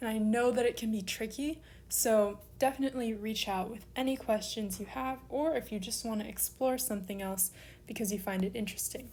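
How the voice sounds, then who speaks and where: A woman speaks at a moderate pace in a dark, mellow, somewhat breathy tone. Her pitch is fairly high, and her intonation fairly even. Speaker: online Greek language teacher. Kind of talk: tutorial.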